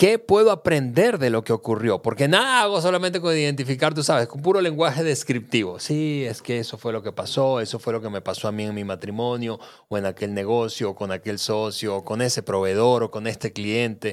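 A man talks at a fairly quick pace with lively intonation and hardly any pauses. His is a normal speaking voice at a medium pitch. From Venezuela. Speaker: podcast co-host. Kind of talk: casual chat. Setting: studio.

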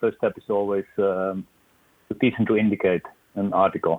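With a Dutch accent, a man talks at a moderate pace. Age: 60s. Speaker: police dog trainer. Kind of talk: interview. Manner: halting.

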